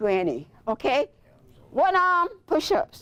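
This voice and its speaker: The woman's tone is animated. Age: 70s. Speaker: senior powerlifter and clinic patient. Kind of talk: testimony. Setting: health center with neighbors present.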